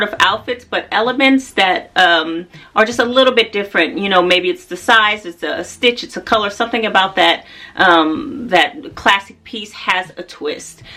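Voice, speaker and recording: Lively intonation and a moderate pace in a plain, everyday voice with an American accent. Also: woman. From United States. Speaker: fashion and style vlogger. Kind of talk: casual vlog talk to camera.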